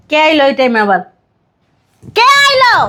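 Putting on a character voice, a woman speaks at a moderate pace in a high, bright, sharp tone with very wide pitch swings.

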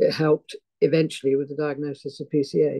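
Against a quiet background, a woman with a British accent speaks with a very deep, low pitch and monotone, flat intonation. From UK. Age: 70s. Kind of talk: interview, personal testimony. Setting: video call. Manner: halting, searches for words. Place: home room. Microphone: video call.

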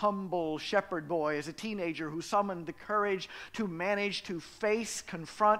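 A man projects a raised voice with a bright, sharp tone and ordinary pitch variation. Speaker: pastor. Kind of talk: sermon. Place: church. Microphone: headset.

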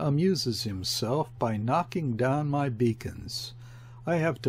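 A natural reading voice. The words are simply read out.

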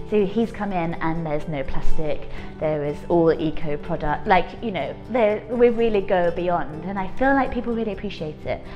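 A woman at a fairly quick pace, with clear music in the background. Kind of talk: interview answer. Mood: warm, enthusiastic. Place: cafe.

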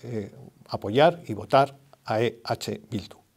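Medium pitch from a man, with a dark, mellow tone and ordinary pitch variation. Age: 70s. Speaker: retired judge. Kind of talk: political endorsement statement. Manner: halting. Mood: calm, earnest. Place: studio.

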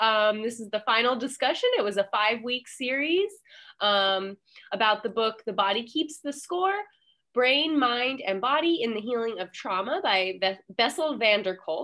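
In a quiet setting, a woman speaks with lively intonation and a bright, sharp tone. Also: fairly high pitch for a woman, moderate pace. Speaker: library manager, event organizer. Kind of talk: event moderation. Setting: video call. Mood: friendly, warm. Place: office. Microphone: headset.

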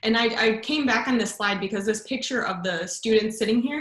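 A woman talks at a fairly high pitch with ordinary pitch variation, against a quiet background with audible room echo. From Chicago suburbs, US Midwest; Illinois. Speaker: education researcher; guest, science educator. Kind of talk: lecture. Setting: video call. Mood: warm, enthusiastic. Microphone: video call.

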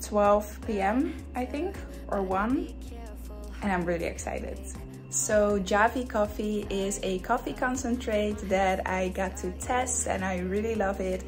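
Clear music plays in the background. Over it, a woman talks at a fairly slow pace. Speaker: vlogger. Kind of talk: casual vlog chat with a sponsor segment. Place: home room. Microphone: phone near.

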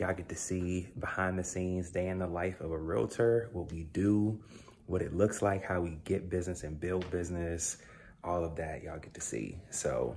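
Fairly even intonation comes at a moderate pace over light background noise. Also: man, very deep, low pitch for a man. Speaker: realtor vlogger. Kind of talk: casual vlog chat. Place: kitchen. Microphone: phone near.

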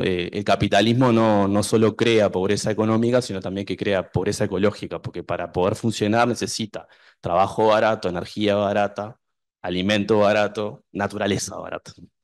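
A man talks at a fairly quick pace in a fairly low voice. His intonation stays monotone and flat over a quiet background. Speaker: university researcher. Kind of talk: panel discussion. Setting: university hall with audience.

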